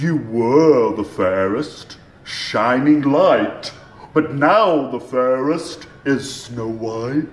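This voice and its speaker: In a put-on character voice of medium pitch, a man talks at a very slow pace. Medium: read story.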